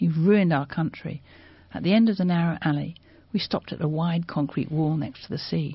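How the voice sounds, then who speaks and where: A woman talks at a fairly quick pace in a very deep, low, somewhat breathy voice with ordinary pitch variation. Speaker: publisher reading aloud. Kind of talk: reading aloud. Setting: studio.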